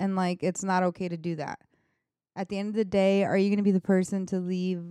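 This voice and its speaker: Her voice is dark and mellow at a medium pitch, moving at a fairly quick pace in a very clean recording with a silent background and a dry, close sound without echo. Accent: American. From New York. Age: 20s. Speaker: podcast co-host. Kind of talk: casual chat.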